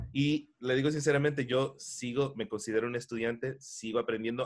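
At a moderate pace and a medium pitch, a man talks in a plain, everyday voice. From Miami, US, of Ecuadorian family. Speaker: voice actor and dubbing director. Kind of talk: interview.

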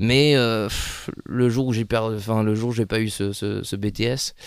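On a very clean recording with a silent background, a man speaks at a fairly low pitch with monotone, flat intonation. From northern France, Lille. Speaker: actor. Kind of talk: casual chat.

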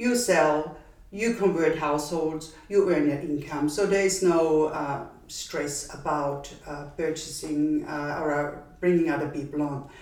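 Against noticeable background noise, a woman with a very deep, low pitch speaks very slowly in an Austrian accent, her pitch varying in an ordinary way. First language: German. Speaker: brand founder. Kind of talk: casual interview.

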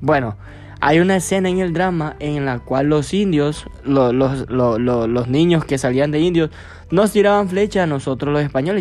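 A man with a fairly high pitch speaks with lively intonation. Noticeable background noise runs behind him. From Honduras, Lempira department. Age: 20s. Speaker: podcaster, university student. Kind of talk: casual monologue.

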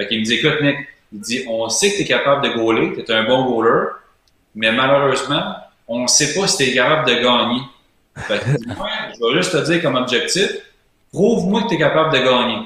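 A man with a Quebec accent, medium in pitch, lively intonation and a moderate pace broken by long, frequent pauses, plus audible room echo. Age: 30s. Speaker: player agent, former hockey goalie. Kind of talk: interview.

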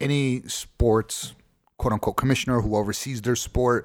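With an American accent and a normal speaking voice, a man talks at a fairly quick pace with fairly even intonation in dry, close sound with no echo. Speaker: podcast host. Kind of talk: casual chat.

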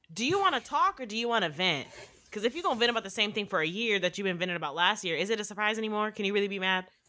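A woman talks at a very fast pace, her tone bright and sharp and her intonation lively. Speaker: podcast co-host. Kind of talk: casual chat.

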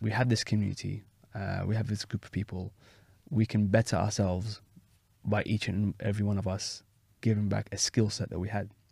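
Fairly low in pitch and somewhat breathy, a man speaks at a fairly quick pace with fairly even intonation. The recording is very clean, with a silent background. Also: long, frequent pauses. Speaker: community organiser. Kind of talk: interview.

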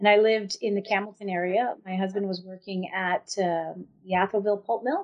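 A woman's medium-pitched, monotone, flat voice at a fairly quick pace with hardly any pauses. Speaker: First Nation chief and lawyer. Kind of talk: interview conversation. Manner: hesitant, many fillers.

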